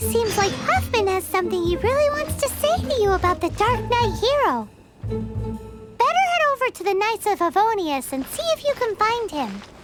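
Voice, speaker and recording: A squeaky put-on character voice at an extremely high pitch sounds over loud music in the background. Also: moderate pace. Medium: machinima. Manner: excitable, fast, chatty.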